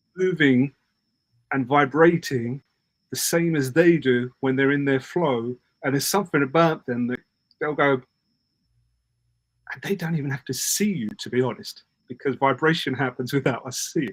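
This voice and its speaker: A man with a British accent and a fairly high voice speaks with long, frequent pauses, the sound dry and close with no echo. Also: ordinary pitch variation, moderate pace. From Britain. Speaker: parenting communication coach. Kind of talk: casual interview chat. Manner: animated.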